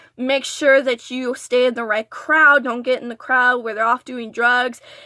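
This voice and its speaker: A woman speaks at a moderate pace in a high, bright, sharp voice with fairly even intonation. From Texas border region. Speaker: vlogger. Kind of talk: story time vlog. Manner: stuttering.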